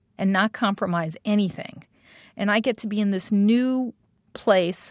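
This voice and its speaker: A woman with a New York accent speaks at a fairly high pitch and a moderate pace, recorded very clean and dry, close up with no echo over a silent background. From New York City, Staten Island. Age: 50s. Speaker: design executive. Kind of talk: interview. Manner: animated.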